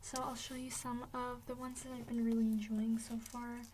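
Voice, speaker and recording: A soft-spoken woman with a fairly high pitch and a relaxed tone talks at a moderate pace with fairly even intonation, with noticeable background noise present. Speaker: ASMR creator. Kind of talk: ASMR rambling and product tapping. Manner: soft-spoken, relaxed, casual.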